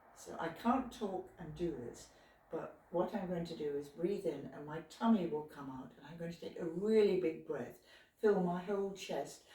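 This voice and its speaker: A woman's fairly low voice at a moderate pace, with ordinary pitch variation, big swings in loudness and audible room echo. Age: 80s. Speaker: retired physiotherapist, exercise instructor. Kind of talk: exercise tutorial. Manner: relaxed, halting.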